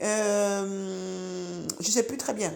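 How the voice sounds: A very slow voice with an Ivorian accent and vocal fry. The tone is slightly mellow, with fairly even intonation. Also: woman, medium pitch for a woman.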